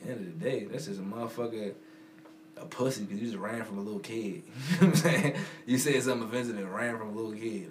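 A man with a medium pitch talks at a very fast pace with lively intonation, yet leaves long, frequent pauses. Audible room echo and noticeable background noise surround his voice. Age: 20s. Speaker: podcast co-host. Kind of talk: casual chat.

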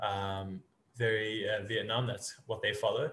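Here a man has a plain, everyday voice, with a medium pitch and a moderate pace. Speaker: podcast host. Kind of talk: casual interview chat.

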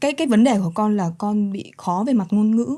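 Her voice is medium in pitch with a dark, mellow tone, and this woman speaks with lively intonation. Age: 20s. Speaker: model and young mother. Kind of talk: interview. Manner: mature-sounding for her age.

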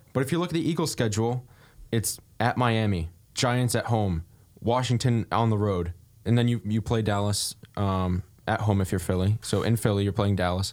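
A man with a plain, everyday voice speaks at a moderate pace and fairly low pitch, with ordinary pitch variation and very even loudness, on a very clean recording with a silent background. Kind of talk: scripted radio station ID and public service announcement read, like a pre-recorded spot. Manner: smooth, polished announcer delivery, even and upbeat, like a promo read; crisp, measured, formal, and unlike his casual banter elsewhere.

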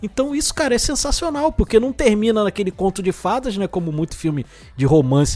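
Fairly quick speech from a man, pitched high and swinging very widely in pitch. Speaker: podcast co-host. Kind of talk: casual chat.

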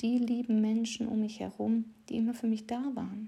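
The voice has a dark, mellow tone and is somewhat breathy. It moves at a moderate pace. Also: woman. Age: 30s. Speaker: podcast host, confidence coach. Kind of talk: casual monologue with poem reading.

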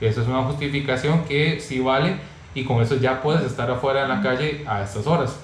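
Through audible room echo and noticeable background noise, a man talks at a fairly quick pace with a medium pitch and fairly even intonation. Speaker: YouTube channel host. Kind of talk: online interview.

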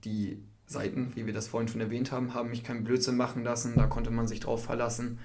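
A man talks at a medium pitch in a monotone, flat intonation. Audible room echo fills the recording. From northern Germany, Cloppenburg area. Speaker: university student. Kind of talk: casual podcast chat.

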